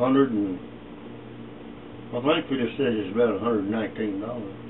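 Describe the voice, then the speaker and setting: There is noticeable background noise behind a man with an East Texas accent. He talks at a fairly quick pace and a medium pitch. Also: ordinary pitch variation. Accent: East Texas Southern US. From East Texas, USA. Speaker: retired meatpacking worker, former sharecropper. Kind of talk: interview answer, family oral history. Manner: casual, reminiscing. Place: home room. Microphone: camera far.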